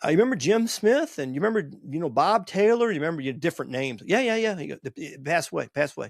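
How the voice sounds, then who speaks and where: On a very clean recording with a silent background, a man with an American accent races along at a very fast pace with hardly any pauses, his high pitch making very wide swings. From Virginia (Bowling Green). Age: 60s. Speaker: podcast host. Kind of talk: casual monologue. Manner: animated.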